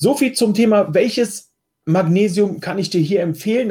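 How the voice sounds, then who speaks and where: In a dark, mellow tone, a man with a slight eastern German accent talks at a fairly slow pace with lively intonation. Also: very clean recording, silent background. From eastern Germany. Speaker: health coach podcast host. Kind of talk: solo podcast answering listener questions. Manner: casual, conversational.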